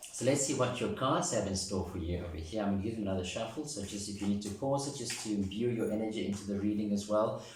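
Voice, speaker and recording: Very fast speech from a man with a fairly low pitch and ordinary pitch variation, amid noticeable background noise and audible room echo. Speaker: tarot reader. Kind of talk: tarot reading to camera.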